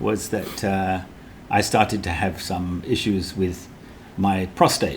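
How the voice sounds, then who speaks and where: Through audible room echo, a man talks at a very slow pace in a very deep, low pitch. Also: fairly even intonation. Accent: British. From Britain. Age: 70s. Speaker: cancer survivor. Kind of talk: interview.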